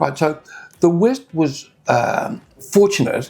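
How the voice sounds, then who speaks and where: A man talks with an Australian accent. Noticeable background noise is present. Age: 70s. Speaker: wine critic. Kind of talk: casual chat. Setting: restaurant.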